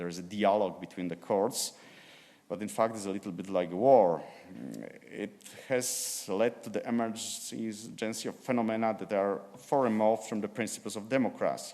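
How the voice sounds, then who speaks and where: In a Slavic accent, a man speaks at a moderate pace with a dark, mellow tone, fairly low pitch and fairly even intonation. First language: Polish. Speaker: law professor and judge. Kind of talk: conference presentation. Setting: conference. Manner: halting.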